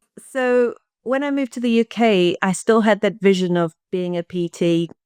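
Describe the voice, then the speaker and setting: Against a quiet background, a woman with a slight South African accent talks with ordinary pitch variation in a dry, close sound with no echo. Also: medium pitch for a woman, moderate pace. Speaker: pelvic health coach. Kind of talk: interview podcast.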